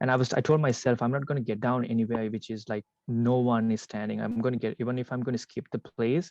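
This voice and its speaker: Speaking very fast with hardly any pauses, a man keeps his intonation fairly even, and the sound is dry and close with no echo. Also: medium pitch for a man. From Sri Lanka. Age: 20s. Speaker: immigrant business owner. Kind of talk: interview conversation. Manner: halting, many fillers and restarts.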